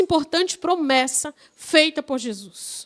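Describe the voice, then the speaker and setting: Speaking in a Paraíba accent, a woman goes at a very slow pace. Her pitch varies in an ordinary way. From Paraíba, Brazil. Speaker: guest preacher. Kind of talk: sermon. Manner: drawn-out words at times.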